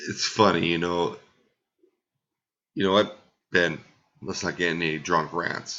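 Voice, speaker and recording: A quiet man's very deep, low voice, monotone and flat, at a fairly slow pace with long, frequent pauses. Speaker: fantasy football league podcast host. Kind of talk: casual podcast recap. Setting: at home at night, family sleeping. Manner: deliberately quiet, low volume.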